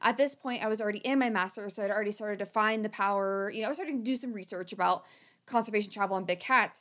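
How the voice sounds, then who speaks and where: An animated voice with an American accent. The recording is very clean, with a silent background. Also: woman. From rural Southern Ohio, US. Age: 30s. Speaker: conservation director and podcast host. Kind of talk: casual chat.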